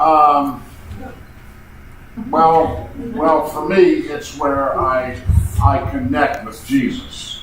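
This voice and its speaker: Loudness swings widely as a man speaks, leaving long, frequent pauses. Noticeable background noise and audible room echo surround him. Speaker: retreat participant. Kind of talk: group sharing.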